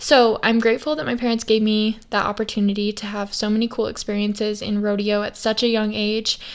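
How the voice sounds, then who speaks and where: At a moderate pace, a woman talks in an unremarkable speaking voice pitched fairly high. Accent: American. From Idaho, US. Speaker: podcast host and western influencer. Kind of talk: casual solo monologue.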